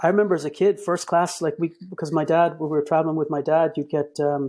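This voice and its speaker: This man speaks with a Boston accent at a very fast pace, his fairly high voice carrying a dark, mellow tone. His intonation is fairly even, and the recording is very clean with a silent background. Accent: American (Boston). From Boston, Massachusetts (via Cairo and Ennis, Co Clare). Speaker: communications director, podcast guest. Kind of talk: casual interview chat. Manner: halting, many repeated words and fillers.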